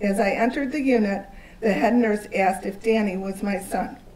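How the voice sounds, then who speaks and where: Talking at a moderate pace, a woman uses a fairly high pitch and fairly even intonation. Audible room echo and noticeable background noise come through. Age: 60s. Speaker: social worker and parent advocate. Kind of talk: testimony. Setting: town hall meeting with audience. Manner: formal.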